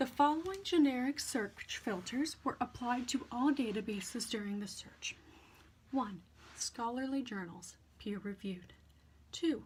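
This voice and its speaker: A soft-spoken woman at a high pitch, with lively intonation and a fairly slow pace. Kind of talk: ASMR reading of academic text. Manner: soft, quiet, slow.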